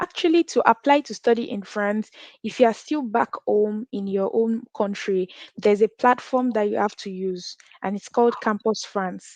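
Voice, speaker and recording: The speaker has a Nigerian accent and an ordinary pitch variation at a moderate pace. The sound is dry and close with no echo. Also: woman, fairly high pitch for a woman. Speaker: international student and content creator. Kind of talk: interview.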